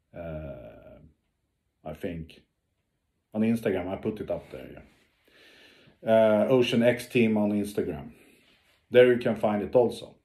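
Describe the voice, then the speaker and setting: Dark, mellow tone with a Swedish accent, ordinary pitch variation, long, frequent pauses and big swings in loudness. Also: man, fairly low pitch for a man. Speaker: ocean explorer and diver. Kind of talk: video update to followers. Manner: halting, many fillers.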